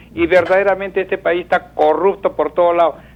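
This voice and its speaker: A man at a fairly quick pace. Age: 60s. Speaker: caller. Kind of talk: phone-in opinion. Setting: phone call. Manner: halting, repeats words.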